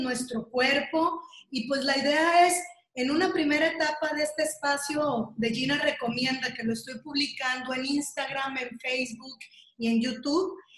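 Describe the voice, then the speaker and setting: A woman with a high pitch speaks fairly slowly and with fairly even intonation. Audible room echo surrounds her voice. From Mexico. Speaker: video interviewer, breast cancer survivor. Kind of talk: casual interview.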